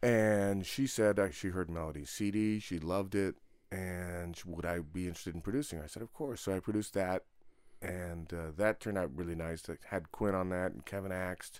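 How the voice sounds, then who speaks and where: A man with a very deep, low voice and a Californian accent, fairly quick pace, ordinary pitch variation, very clean recording with a silent background. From Santa Barbara, California. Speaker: jazz drummer. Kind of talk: interview.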